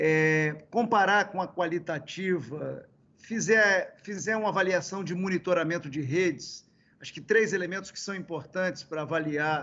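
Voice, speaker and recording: A high-pitched man at a moderate pace, with ordinary pitch variation and big swings in loudness. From Brazil, Espírito Santo (Caparaó, near Minas Gerais border). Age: 60s. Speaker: former state governor and politician. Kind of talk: interview. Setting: video call. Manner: hesitant with many fillers.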